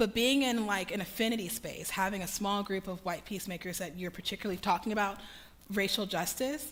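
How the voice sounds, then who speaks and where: A woman with an American accent uses a normal speaking voice at medium pitch. She talks at a fairly quick pace with lively intonation. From Texas. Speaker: speaker on racial justice. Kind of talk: talk to a church audience.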